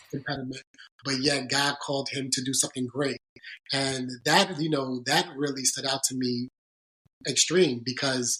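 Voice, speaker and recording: A man speaks in an American accent with a bright, sharp tone. His intonation is monotone and flat. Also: medium pitch for a man, moderate pace. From US Northeast, Bronx New York. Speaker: sports agent. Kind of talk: podcast interview. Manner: halting.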